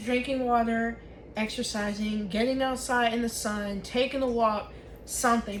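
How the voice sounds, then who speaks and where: Amid noticeable background noise and audible room echo, a woman speaks with a fairly high pitch. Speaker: vlogger. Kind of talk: casual vlog talk while crafting. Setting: home office desk. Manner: loud.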